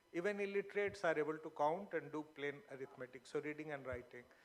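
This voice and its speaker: Moderate pace and ordinary pitch variation in a man's fairly high-pitched voice. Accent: Bihari. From Bihar, India (Magahi-speaking area). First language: Magahi. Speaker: panelist at literature festival. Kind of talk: panel discussion. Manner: hesitant, many fillers.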